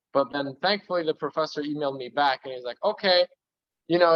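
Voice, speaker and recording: A man talks with ordinary pitch variation. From US, Polish immigrant family. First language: Polish. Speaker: interviewee, student. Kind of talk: casual interview chat.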